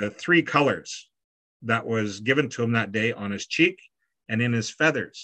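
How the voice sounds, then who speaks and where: A man with a Canadian accent, bright, sharp tone, moderate pace and ordinary pitch variation against a quiet background. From Canada, Prairies; Canada. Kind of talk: online artist talk. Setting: video call. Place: home room. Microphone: video call.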